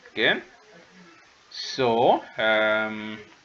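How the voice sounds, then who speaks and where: A man with a non-native accent speaks over noticeable background noise. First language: not English. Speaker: tutor. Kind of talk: online lecture. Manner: hesitant, many fillers.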